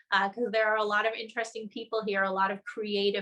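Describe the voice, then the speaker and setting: Bright and sharp in tone, a woman speaks in a New Jersey accent. She moves at a fairly quick pace with monotone, flat intonation. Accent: American (New Jersey). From New Jersey, US. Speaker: journalist. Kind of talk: webinar interview.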